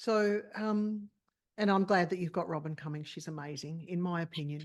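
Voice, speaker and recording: Moderate pace and ordinary pitch variation against a quiet background. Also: woman. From Australia. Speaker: clinical psychologist. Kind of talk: interview.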